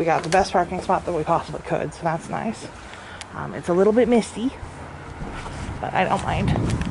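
The pace is moderate. Noticeable background noise runs throughout. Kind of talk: casual vlog chat. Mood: mildly grumpy, candid. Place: street. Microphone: phone near.

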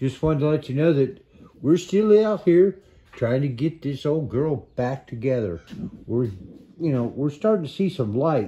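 Somewhat breathy and dark, mellow in tone, the voice moves at a fairly slow pace with lively intonation. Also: man, fairly high pitch for a man. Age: 60s. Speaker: hobby car restorer. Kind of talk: casual vlog chat. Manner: relaxed, chatty. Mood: relaxed, upbeat. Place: garage. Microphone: phone near.

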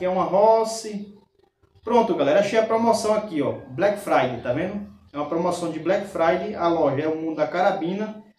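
This man speaks at a fairly quick pace with a high pitch and ordinary pitch variation. Audible room echo surrounds his voice. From Brazil. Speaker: YouTube airgun reviewer and raffle organizer. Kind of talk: street-seller style sales pitch, pushing a bargain and a raffle. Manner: emphatic, salesman-like, reassuring the buyer. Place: home room.

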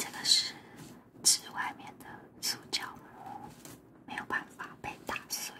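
A woman whispers very slowly, with long pauses coming often. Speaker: craft vlogger. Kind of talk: ASMR whisper-style casual demonstration narration. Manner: soft, whispery. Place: office.

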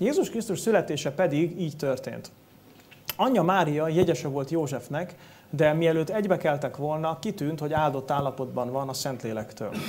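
Keeping a moderate pace, a man talks with ordinary pitch variation. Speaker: preacher. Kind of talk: sermon. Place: church.

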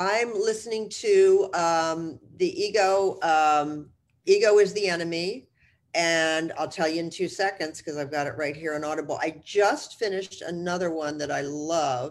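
An American accent with ordinary pitch variation. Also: woman, fairly low pitch for a woman, moderate pace. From US Northeast, New Jersey. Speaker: real estate executive and mentor; guest. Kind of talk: interview. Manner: blunt. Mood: warm, reflective. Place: home room. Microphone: video call.

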